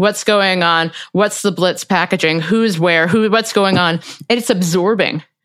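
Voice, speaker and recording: On a very clean recording with a silent background, a normal speaking voice moves at a fairly slow pace with very even loudness and fairly even intonation. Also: woman, medium pitch for a woman. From US Midwest, Cincinnati, Ohio. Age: 30s. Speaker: podcast host and opinion writer. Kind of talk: casual interview.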